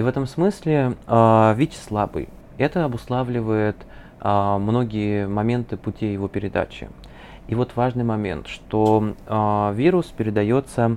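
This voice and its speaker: Using a plain, everyday voice, a man with a fairly low pitch speaks at a fairly slow pace with ordinary pitch variation. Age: 20s. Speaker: psychologist. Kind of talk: interview.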